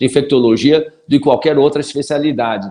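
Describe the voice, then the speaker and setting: A man talks at a fairly high pitch with ordinary pitch variation, keeping a moderate pace. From Brazil, São Paulo. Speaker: pediatrician. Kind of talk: interview. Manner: hesitant.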